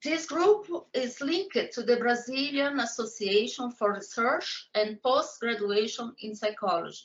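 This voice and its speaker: High-pitched woman's voice with lively intonation, a fairly slow pace and hardly any pauses. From Brazil. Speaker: psychology professor. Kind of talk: interview.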